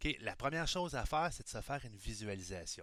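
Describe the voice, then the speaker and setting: A man speaks with a Quebec accent. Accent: Québécois French. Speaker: high school math teacher. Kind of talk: recorded lesson. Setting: recording at computer screen. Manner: casual, improvised.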